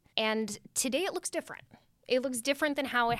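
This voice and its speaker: A woman is speaking. She has a Californian accent. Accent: Californian American. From Redwood City, California. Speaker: school director of mission and ministry, co-host. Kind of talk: casual chat.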